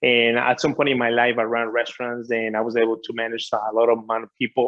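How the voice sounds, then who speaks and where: A medium-pitched man at a very fast pace. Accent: Spanish. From Ecuador. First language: Spanish. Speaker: author and business coach. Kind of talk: interview.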